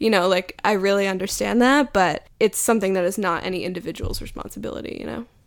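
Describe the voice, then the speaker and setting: A woman at medium pitch with vocal fry, a very fast pace, ordinary pitch variation and hardly any pauses, on a very clean recording with a silent background. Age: 20s. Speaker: cultural critic and essayist. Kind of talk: interview.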